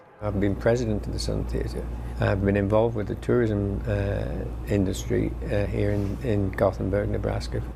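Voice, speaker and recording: A man speaks at a moderate pace with a very deep, low pitch and lively intonation. Noticeable background noise and audible room echo surround his voice. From England. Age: 70s. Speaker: campground owner. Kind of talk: interview.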